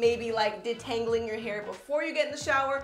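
A woman speaks with ordinary pitch variation and audible room echo. Faint music plays in the background. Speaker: beauty vlogger. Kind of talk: casual vlog chat.

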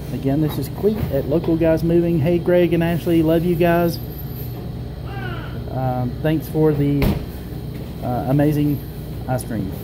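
Long, frequent pauses break up the fairly slow speech, set against noticeable background noise. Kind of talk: casual vlog chat. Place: cafe. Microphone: phone near.

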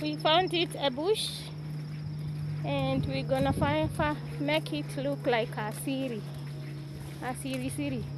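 Speech moves at a fairly slow pace with a dry sound and no echo. Loud background noise runs underneath. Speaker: vlogger touring village land. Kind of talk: casual vlog chat. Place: open country. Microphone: phone near.

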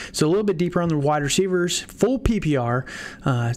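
Speaking in an ordinary speaking voice, a man keeps a moderate pace with ordinary pitch variation. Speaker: fantasy football podcast host. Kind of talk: casual chat. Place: home room.

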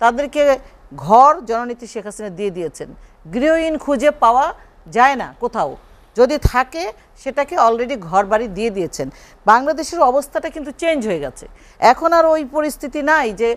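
The voice has lively intonation and big swings in loudness. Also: woman, high pitch for a woman. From Bangladesh, Shariatpur; Bangladesh. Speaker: politician. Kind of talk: heated debate. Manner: animated. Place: studio.

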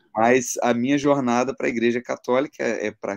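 A man with an ordinary speaking voice at a medium pitch. He talks at a fairly quick pace over a quiet background. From Brazil. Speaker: interview guest. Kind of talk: conversion testimony. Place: home room. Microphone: video call.

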